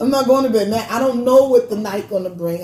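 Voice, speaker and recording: A woman talks in a Brooklyn accent. Her tone is animated. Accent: New York (Brooklyn). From Brooklyn, New York (Brownsville). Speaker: podcast co-host. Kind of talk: casual chat. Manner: loud.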